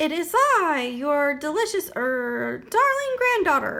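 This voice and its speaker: A woman puts on a high-pitched character voice. She speaks at a fairly slow pace. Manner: feigned sweetness.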